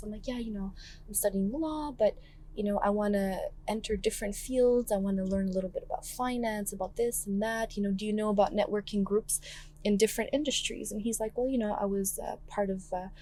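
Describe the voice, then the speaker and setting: A soft-spoken woman talks very fast at a fairly high pitch, her intonation fairly even. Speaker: political candidate. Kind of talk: casual chat. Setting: in a car. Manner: quiet.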